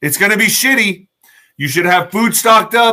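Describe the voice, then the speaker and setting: A man projects his voice, raised and high in pitch. His tone is bright and sharp. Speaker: political livestream commentator. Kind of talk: live stream monologue. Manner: fast; animated.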